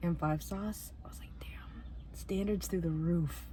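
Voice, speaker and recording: Audible room echo surrounds a woman's voice. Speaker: youtuber. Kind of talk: casual vlog monologue. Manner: animated.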